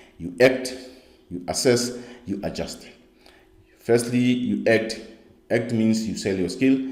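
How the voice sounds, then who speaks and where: Audible room echo surrounds a man's dark, mellow tone and fairly even intonation. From South Africa. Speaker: skills coach. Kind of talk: online course lecture. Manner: halting, with many fillers.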